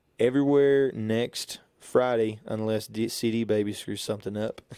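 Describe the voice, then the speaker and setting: With a West Texas accent, a man speaks at a fairly slow pace with ordinary pitch variation. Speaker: singer-songwriter. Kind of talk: casual interview. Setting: radio studio.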